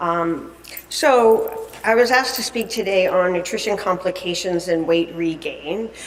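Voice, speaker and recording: Noticeable background noise and audible room echo surround the speech. The pace is moderate, with ordinary pitch variation. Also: woman. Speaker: dietitian and conference speaker. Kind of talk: lecture. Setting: conference stage with audience. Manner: loud; halting, many fillers.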